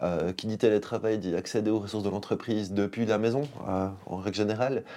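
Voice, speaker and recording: A man's fairly low voice with a dark, mellow tone, fairly quick pace and fairly even intonation. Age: 40s. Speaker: IT company co-founder. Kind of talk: interview.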